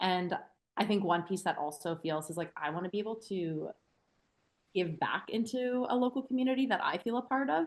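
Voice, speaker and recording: With a Canadian accent, a woman talks at a fairly quick pace with lively intonation in an ordinary speaking voice, and the background is quiet. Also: medium pitch for a woman. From Canada, central Alberta. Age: 20s. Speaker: trail running guide. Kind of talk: casual interview chat.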